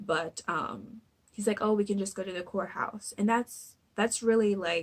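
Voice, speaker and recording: A woman talks fairly slowly in a normal speaking voice, medium in pitch with ordinary pitch variation. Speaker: youtuber recapping reality TV. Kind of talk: casual recap vlog. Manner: filler-heavy, with many ums.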